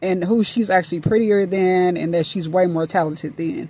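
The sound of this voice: At a moderate pace, a woman speaks at a fairly low pitch in a dark, mellow tone with ordinary pitch variation.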